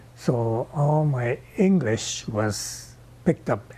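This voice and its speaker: Speaking in a Hawaiian accent, a man uses lively intonation at a medium pitch. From Hawaii (Kauai). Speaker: oral history interviewee. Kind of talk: testimony.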